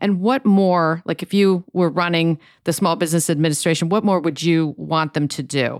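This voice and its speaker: In an unremarkable speaking voice of fairly low pitch, a woman talks at a moderate pace with very even loudness on a very clean recording with a silent background. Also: ordinary pitch variation. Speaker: podcast host. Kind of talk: interview.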